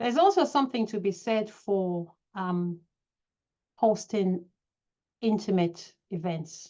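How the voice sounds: Slow and lively in intonation, a woman speaks with a dark, mellow tone. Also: medium pitch for a woman.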